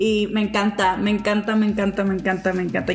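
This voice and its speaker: A woman speaks at a moderate pace with a medium pitch and a monotone, flat intonation. Noticeable background noise sits behind her. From Mexico, small town. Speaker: podcast host. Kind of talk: casual chat.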